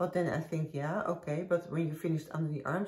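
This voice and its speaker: A woman talks in a very deep, low pitch with a dark, mellow tone, flat monotone intonation, some breathiness, and a slight Dutch accent. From Netherlands. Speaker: knitting podcaster. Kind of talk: casual chat. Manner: halting.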